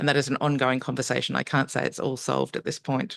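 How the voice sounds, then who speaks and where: Against a quiet background, the speaker talks at a fairly quick pace with an Australian accent. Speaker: urban energy researcher / panelist. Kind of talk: conference panel presentation. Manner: hesitant, many fillers (um).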